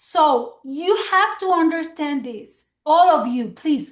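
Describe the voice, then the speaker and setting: Slowly, very slowly, a woman with a Mexican accent speaks at an extremely high pitch in a warm tone with lively intonation. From Mexico. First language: Spanish. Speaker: direct sales executive. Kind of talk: motivational business training. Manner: warm, encouraging.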